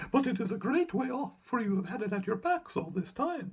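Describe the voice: Putting on a character voice, a man speaks at an extremely high pitch with big pitch swings, a slightly husky edge and a fairly quick pace.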